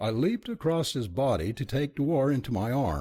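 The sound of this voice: The reading is done in an unforced reading voice.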